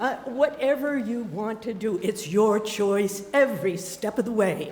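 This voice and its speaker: A woman's fairly high voice with lively intonation at a fairly slow pace, plus audible room echo and noticeable background noise. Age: 70s. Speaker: storyteller. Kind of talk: storytelling. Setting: stage with audience.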